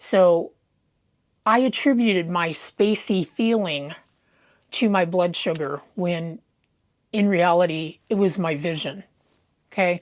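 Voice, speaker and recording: The speaker goes at a very slow pace, with long, frequent pauses. The recording is very clean, with a silent background. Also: woman, fairly low pitch for a woman, ordinary pitch variation. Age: 70s. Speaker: video blogger sharing health experience. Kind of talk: personal monologue to camera. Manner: casual, unscripted.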